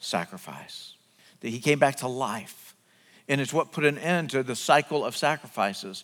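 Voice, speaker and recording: A man's voice with vocal fry and lively intonation at a moderate pace, in a very clean recording with a silent background. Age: 50s. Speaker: pastor. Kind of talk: sermon. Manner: repetitive stammering restarts.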